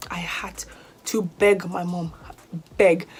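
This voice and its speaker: A woman talks over noticeable background noise. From Nigeria. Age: 20s. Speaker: YouTuber, university student. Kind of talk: casual vlog Q&A.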